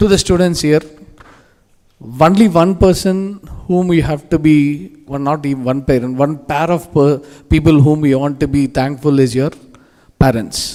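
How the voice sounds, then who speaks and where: Pausing long and often, a man with a fairly high pitch and ordinary pitch variation speaks at a moderate pace. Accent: Telugu. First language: Telugu. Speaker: industry guest speaker. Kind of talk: motivational speech. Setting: stage with audience. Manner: animated.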